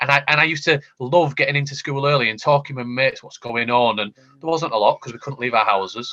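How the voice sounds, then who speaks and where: A man with a Yorkshire accent, bright, sharp tone and fairly high pitch, at a very fast pace with hardly any pauses and ordinary pitch variation. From Yorkshire, northern England. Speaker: education technology panelist. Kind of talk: panel discussion. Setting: online video call. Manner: animated, with frequent repetitions.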